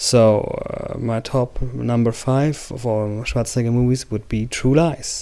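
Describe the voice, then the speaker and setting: A man speaks with a German accent at a fairly slow pace. He leaves hardly any pauses. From Germany. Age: 40s. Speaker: movie reviewer. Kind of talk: casual video review. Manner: halting, many fillers.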